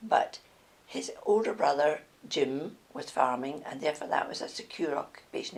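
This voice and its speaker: At a moderate pace, a woman with a Scottish accent talks over noticeable background noise. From Scotland. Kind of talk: life story interview answer.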